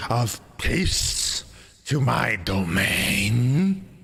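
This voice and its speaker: A man booms out his lines in a put-on character voice. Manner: commanding, grand.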